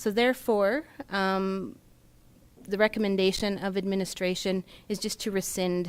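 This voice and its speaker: At a moderate pace, the voice comes across soft-spoken. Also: woman, very clean recording, silent background. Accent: Canadian. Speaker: municipal finance manager. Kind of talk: council meeting presentation. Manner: formal.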